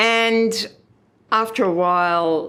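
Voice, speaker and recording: A woman with an Australian accent. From Kenilworth, Queensland, Australia. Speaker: former local councillor. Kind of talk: oral history interview answer.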